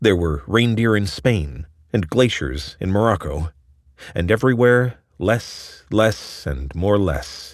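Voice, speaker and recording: A man's fairly low voice, very slow in pace, with lively intonation. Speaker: narrator reading an article aloud. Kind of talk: dramatic narration of a long-form science essay, read aloud. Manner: vivid, ominous storytelling cadence.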